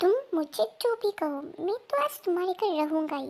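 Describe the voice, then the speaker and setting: A woman uses a put-on character voice, squeaky and extremely high in pitch. She talks at a fairly quick pace with very wide pitch swings. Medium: read story. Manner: teasing, cheeky.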